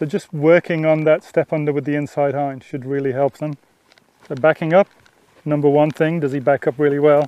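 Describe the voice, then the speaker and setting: Someone with an Australian accent talks at a fairly quick pace in a monotone, flat intonation. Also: man, fairly high pitch for a man. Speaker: horse trainer. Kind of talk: instructional talk during riding lesson. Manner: casual, conversational.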